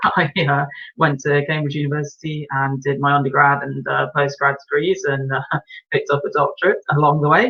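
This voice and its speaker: Here a man speaks with an English accent at a fairly high pitch. His intonation is monotone and flat. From English Midlands, Birmingham. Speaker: racing driver. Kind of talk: interview. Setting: live stream.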